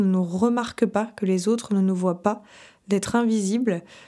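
Her dark, mellow tone moving at a fairly slow pace, a woman speaks with fairly even intonation on a very clean recording with a silent background. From Paris region, France. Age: 30s. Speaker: podcast host and life coach. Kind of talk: casual solo podcast talk. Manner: hesitant, many fillers.

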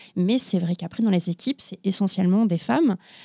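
In a very clean recording with a silent background and a dry, close sound with no echo, a woman speaks at medium pitch in a dark, mellow tone with ordinary pitch variation. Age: 40s. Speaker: publishing professional. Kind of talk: casual chat. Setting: studio.

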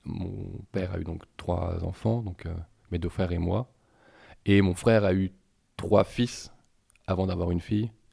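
A man talks with a very deep, low pitch and a dark, mellow tone, his intonation fairly even. He leaves long, frequent pauses, and the recording is very clean with a silent background. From Paris region, France. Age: 40s. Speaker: interviewee. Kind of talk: personal testimony. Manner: halting, many hesitations and repetitions.

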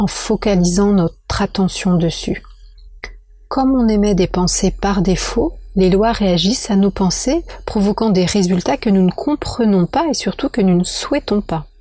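A woman speaks at a medium pitch with a dark, mellow tone and a somewhat breathy quality. Her loudness stays very even while her intonation is lively. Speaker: podcast host, feng shui consultant. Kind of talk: monologue podcast, explanatory talk. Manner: hesitant with many fillers and repetitions.

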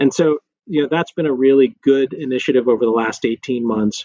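A man with an American accent and a normal speaking voice talks at a moderate pace and medium pitch with fairly even intonation. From West Texas (Lubbock). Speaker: corporate general counsel. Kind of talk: interview.

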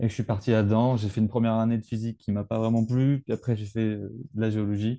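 The dark, mellow voice moves at a fairly quick pace with fairly even intonation, and the sound is dry and close with no echo. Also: man. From rural France. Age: 20s. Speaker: geology student. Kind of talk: interview. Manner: halting.

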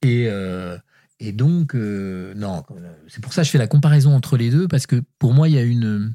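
A man with a medium-pitched voice and a dark, mellow tone talks at a fairly slow pace, his intonation lively and his loudness swinging widely. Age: 60s. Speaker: writer. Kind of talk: casual chat.

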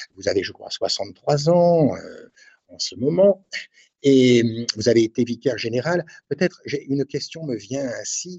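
Very slowly, a man speaks in a fairly high, somewhat breathy voice, with big swings in loudness. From northern France, Cambrai. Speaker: priest, radio host. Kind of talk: religious radio show. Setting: at the shrine. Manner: halting, many repetitions.

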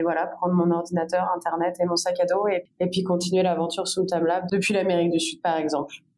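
Speaking very fast with hardly any pauses, a woman keeps her loudness very even and her intonation flat and monotone at a fairly low pitch. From France, Bordeaux. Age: 20s. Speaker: entrepreneur. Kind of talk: interview.

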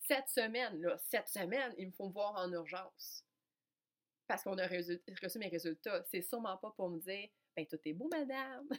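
In a Quebec accent, a woman with a medium pitch talks at a moderate pace with lively intonation, the sound dry and close with no echo. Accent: Québécois French. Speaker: podcast host and coach. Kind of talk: personal storytelling monologue. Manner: animated, frequent hesitations.

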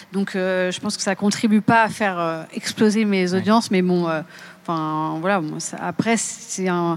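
At a fairly slow pace, a woman talks in a normal speaking voice with medium pitch and fairly even intonation. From Seine-et-Marne, France. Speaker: podcaster and climate consultant. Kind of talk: panel discussion.

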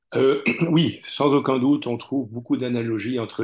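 Against a quiet background, a man speaks at a moderate pace. His intonation is fairly even. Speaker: translator. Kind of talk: interview. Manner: halting, frequent repetitions.

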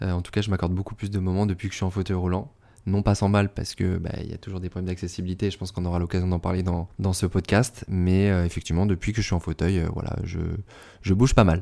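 Over a very clean recording with a silent background, a man speaks at a very fast pace in a very deep, low voice with a dark, mellow tone and monotone, flat intonation. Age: 30s. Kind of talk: interview. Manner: hesitant, many fillers.

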